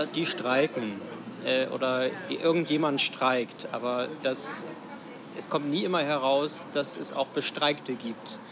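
A man with a fairly high pitch talks at a very slow pace, with ordinary pitch variation. There are long, frequent pauses and noticeable background noise. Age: 20s. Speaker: system administrator and union youth representative. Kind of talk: interview. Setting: café. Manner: halting, many fillers.

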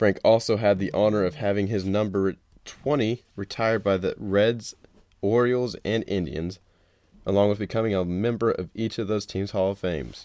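His tone dark and mellow, a man with a fairly low pitch speaks at a moderate pace with fairly even intonation. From Memphis, Tennessee. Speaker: sports podcast host. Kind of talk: casual sports commentary monologue.

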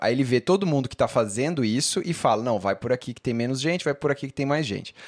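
Captured on a very clean recording with a silent background, a man uses an ordinary speaking voice with ordinary pitch variation. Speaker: writer and podcast co-host. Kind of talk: casual chat.

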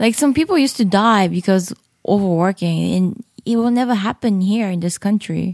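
At a moderate pace, a woman with a Japanese accent speaks at a medium pitch with ordinary pitch variation and a dry, close sound with no echo. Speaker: comedian. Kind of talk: casual chat.

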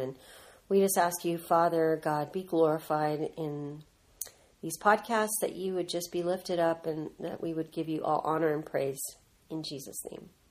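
A woman with an American accent speaks at a moderate pace and fairly low pitch with fairly even intonation, in an unremarkable speaking voice. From Southern California. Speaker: ministry co-founder, mother. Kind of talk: casual family interview.

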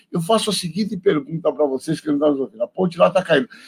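This man speaks with a high pitch. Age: 50s. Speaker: infectious disease doctor. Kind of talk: radio interview.

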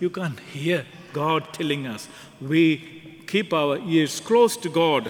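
Background noise is clearly audible under speech that goes along very slowly. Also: man, fairly high pitch for a man, ordinary pitch variation. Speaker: priest. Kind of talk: homily. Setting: church.

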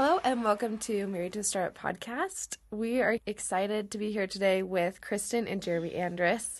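An unremarkable speaking voice from a woman at medium pitch, moderate pace, ordinary pitch variation, and hardly any pauses. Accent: American. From Oregon. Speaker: podcast host. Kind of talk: interview.

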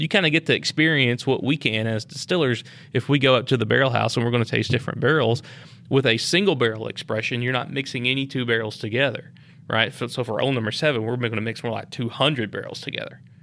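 With a Tennessee accent, a man talks at a very fast pace in a bright, sharp tone, his medium pitch showing ordinary variation. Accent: US Southern (Tennessee). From Lynchburg, Tennessee. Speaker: master distiller. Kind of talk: casual interview. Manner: laid back, low-key.

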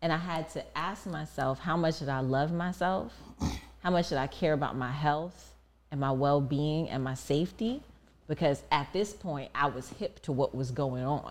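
A woman with a very deep, low pitch, vocal fry, ordinary pitch variation and a moderate pace. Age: 40s. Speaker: podcast co-host, mother of two. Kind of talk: casual chat.

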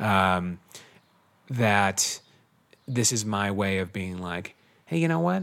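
Here a man talks at a very slow pace, leaving long, frequent pauses. His intonation is lively. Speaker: test prep tutor. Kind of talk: casual interview.

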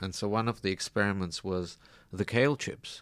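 On a very clean recording with a silent background, a man talks at a fairly low pitch with fairly even intonation. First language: Russian. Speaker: business founder, software engineer. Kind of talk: radio interview. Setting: radio studio.

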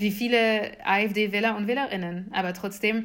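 This woman speaks with a French accent at a medium pitch, her intonation fairly even. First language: French (speaking German). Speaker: activist and political scientist, author. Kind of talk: interview.

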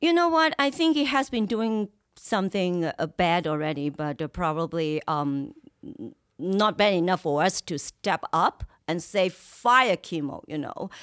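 Very wide pitch swings mark a woman's fairly low voice. She talks at a fairly slow pace. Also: very clean recording, silent background. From Hong Kong. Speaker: activist. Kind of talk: interview.

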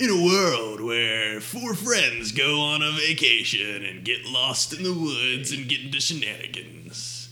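At a fairly slow pace, a man uses a put-on character voice at medium pitch. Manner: epic, dramatic.

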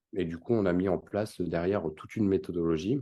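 Very deep and low in pitch, a man's voice moves at a moderate pace with ordinary pitch variation. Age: 30s. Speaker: crypto investment company founder. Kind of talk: interview.

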